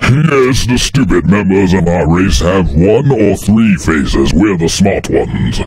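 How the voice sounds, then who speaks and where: Putting on a character voice, a man talks in a fairly low pitch with hardly any pauses. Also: fairly slow pace. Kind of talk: parody fandub overdub. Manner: detached, haughty, matter-of-fact.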